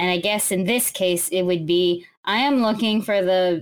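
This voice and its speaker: A woman speaks at a moderate pace and medium pitch in a plain, everyday voice, recorded very cleanly over a silent background. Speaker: tabletop game player. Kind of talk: tabletop roleplay game session.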